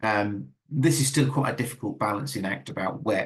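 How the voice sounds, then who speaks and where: His intonation is lively as the man talks. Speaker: dyslexia consultant giving a webinar. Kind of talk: webinar presentation. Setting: online webinar. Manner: fast; halting, many repetitions and fillers.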